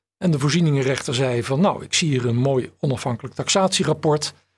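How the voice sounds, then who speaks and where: A man's somewhat breathy voice, fairly quick, with ordinary pitch variation. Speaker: bankruptcy lawyer and trustee. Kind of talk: interview.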